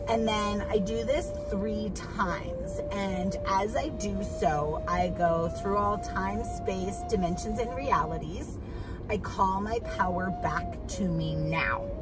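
Over clear music in the background, a woman talks at a very slow pace, and her voice sounds dry with no echo. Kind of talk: casual vlog chat, guided instruction. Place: car. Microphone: phone near.

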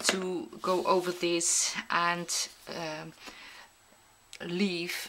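With a non-native accent, a woman speaks very slowly in a fairly low pitch and a bright, sharp tone, her intonation monotone and flat, with light background noise behind her. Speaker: mixed media artist. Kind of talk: craft tutorial narration. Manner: hesitant, many filler sounds.

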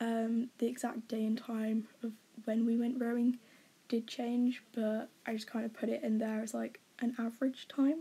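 In an English accent, a woman speaks with a dark, mellow tone. Her fairly high pitch stays monotone and flat. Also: moderate pace. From England. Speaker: university student. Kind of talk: casual talk to camera.

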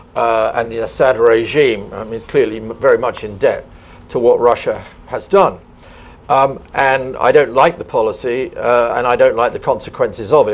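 A man with a southern English accent, at a moderate pace. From southern England, Kent; southern England. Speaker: professor of international relations; speaker. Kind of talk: panel discussion. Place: hall. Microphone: lapel.

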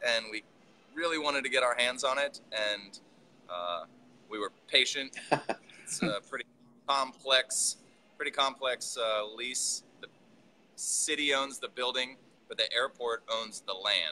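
With light background noise behind him, a man speaks at a fairly slow pace with long, frequent pauses, ordinary pitch variation and a bright, sharp tone. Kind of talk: interview answer. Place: factory.

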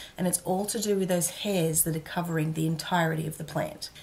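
Here a woman speaks with an Australian accent in a fairly low pitch. Her pace is fairly quick and her intonation fairly even. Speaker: educational YouTuber. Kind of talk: scripted narration. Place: home room.

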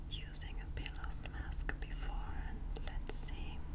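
Very slowly, a woman speaks. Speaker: ASMR creator. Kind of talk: ASMR roleplay, personal attention.

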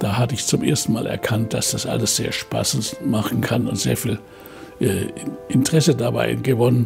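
A man at a moderate pace over clear background music. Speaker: Nobel laureate chemist. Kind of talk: interview answer. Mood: warm, reflective, smiling. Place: home room.

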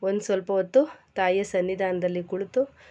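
A woman speaks in a medium pitch with a dark, mellow tone and a monotone, flat intonation. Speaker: vlogger. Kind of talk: casual vlog narration.

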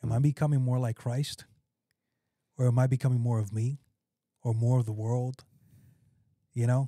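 A man speaks at a moderate pace in a dark, mellow, monotone delivery with long, frequent pauses. The sound is dry with no echo, and the background is quiet. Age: 30s. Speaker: pastor. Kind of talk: casual chat; podcast conversation on faith. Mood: reflective, earnest. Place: studio. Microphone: studio mic.

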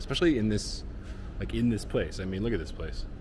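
A man with an American accent talks at a very fast pace over noticeable background noise. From United States, Chicago. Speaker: travel vlogger. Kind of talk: vlog walkthrough. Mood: enthusiastic, curious. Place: hall. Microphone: phone near.

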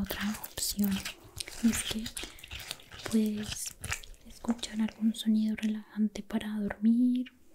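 This woman speaks very slowly in a monotone, flat intonation, noticeable background noise behind her. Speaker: ASMR creator playing a doctor. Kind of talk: soft-spoken ASMR role-play. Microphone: studio mic.

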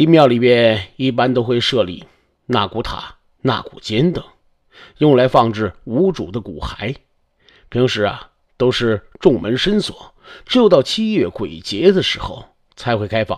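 A man at a medium pitch with very wide pitch swings, a fairly slow pace and long, frequent pauses, on a very clean recording with a silent background. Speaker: storyteller. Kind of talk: storytelling narration. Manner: animated.

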